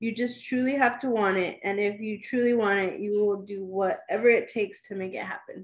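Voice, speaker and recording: A woman speaks at a fairly quick pace with fairly even intonation and a fairly high pitch. It is an ordinary speaking voice. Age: 30s. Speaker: mother sharing her birth story, aspiring midwife. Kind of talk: personal testimony in an interview.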